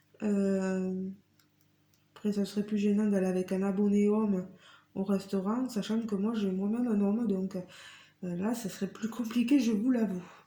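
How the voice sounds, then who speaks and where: A woman speaks at a fairly slow pace and medium pitch, her somewhat breathy voice dark and mellow in tone, with monotone, flat intonation. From southwest France, Tarn (Carmaux). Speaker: craft YouTuber. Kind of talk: casual Q&A vlog. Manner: hesitant, many fillers.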